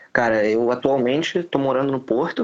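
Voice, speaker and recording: A man with an ordinary speaking voice talks at a medium pitch and a fairly quick pace, with ordinary pitch variation. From Rio de Janeiro, Brazil. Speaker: immigrant student. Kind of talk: casual chat.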